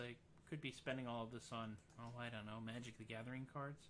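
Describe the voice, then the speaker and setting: Over light background noise, a man speaks at a moderate pace in a bright, sharp tone. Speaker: musician hosting a live stream. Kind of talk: casual live-stream chat. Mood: jovial, self-deprecating. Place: home room. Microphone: studio mic.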